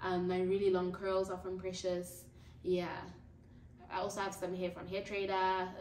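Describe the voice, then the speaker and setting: A woman's monotone, flat delivery at a moderate pace, with long, frequent pauses, light background noise and audible room echo. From South Africa, Durban; South Africa. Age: 20s. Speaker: YouTuber; youtuber. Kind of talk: casual vlog chat. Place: home room. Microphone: camera far.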